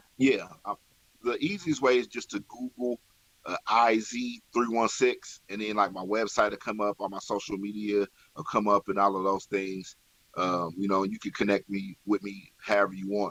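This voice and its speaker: A man with an American accent speaks at a moderate pace and fairly low pitch, with fairly even intonation. The sound is dry and close with no echo. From Kansas, Wichita area (316). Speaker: hip-hop artist. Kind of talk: radio interview.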